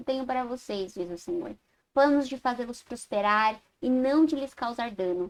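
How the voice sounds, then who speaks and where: The speaker is a woman with a high voice. Her recording is very clean, the background silent. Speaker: Sunday school teacher. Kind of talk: Bible class lecture. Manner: halting, self-correcting.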